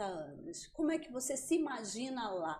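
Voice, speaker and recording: A woman speaks with a Rio de Janeiro accent. Her pace is fairly slow. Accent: carioca. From Rio de Janeiro, Brazil. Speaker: psychiatrist and podcast host. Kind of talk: podcast interview. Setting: studio.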